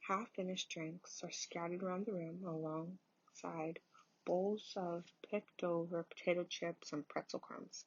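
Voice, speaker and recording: Soft-spoken and fairly slow, a woman talks at a fairly low pitch with fairly even intonation. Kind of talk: ASMR book reading.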